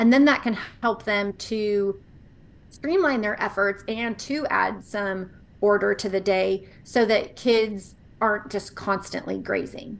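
Against a quiet background, a woman with an unremarkable speaking voice talks at a fairly slow pace, with a medium pitch and ordinary pitch variation. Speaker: nutrition podcaster, mom. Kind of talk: interview chat.

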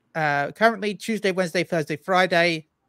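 A man with a British accent and a high pitch speaks at a fairly quick pace in a very clean recording with a silent background, the sound dry and close with no echo. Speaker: streamer and guest. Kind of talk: casual chat.

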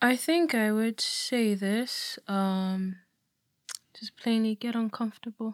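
Speaking at a very slow pace, a woman with a fairly high pitch uses ordinary pitch variation in a dry, close sound with no echo. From Nigeria. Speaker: church member sharing experience. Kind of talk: casual discussion. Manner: halting.

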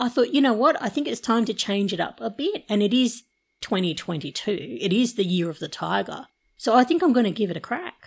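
A woman with a fairly high voice and vocal fry speaks at a moderate pace, her pitch swinging very widely, on a very clean recording with a silent background. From Torres Strait Islands, Australia. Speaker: former diplomat and public service executive. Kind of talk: casual interview chat.

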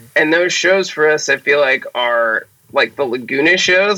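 Bright, sharp male voice at a fairly high pitch, moderate in pace, with ordinary pitch variation. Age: 30s. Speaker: drummer and podcast host. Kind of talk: casual chat.

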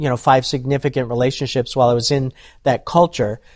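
A man with an American accent in a plain, everyday voice, medium in pitch with ordinary pitch variation, dry and close with no echo. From US, various states (Navy family). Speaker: ministry speaker. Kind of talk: testimony.

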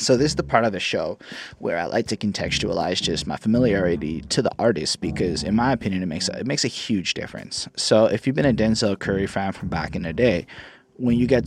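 A man with a fairly low voice speaks at a very fast pace in an animated tone with lively intonation. Music plays in the background. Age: 30s. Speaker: music reviewer. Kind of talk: album review monologue. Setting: solo recording. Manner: casual, animated.

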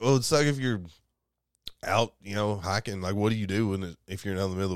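A man with a Southern US accent speaks at a fairly low pitch and a fairly quick pace. His pitch varies in an ordinary way, and the recording is very clean with a silent background. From Kentucky. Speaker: podcast co-host. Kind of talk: casual chat. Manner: animated.

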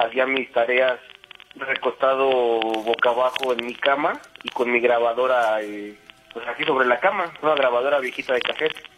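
A man with a central Mexican accent talks at a fairly slow pace with fairly even intonation, and noticeable background noise is present. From Mexico City (Iztapalapa), raised in Querétaro. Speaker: radio caller. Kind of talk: personal story told on call-in radio. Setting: phone call.

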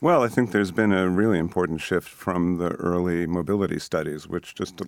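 Speaking with an American accent, a man has a very deep, low pitch and fairly even intonation. He moves at a fairly quick pace on a very clean recording with a silent background. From Boston area, US. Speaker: sociology professor. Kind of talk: interview.

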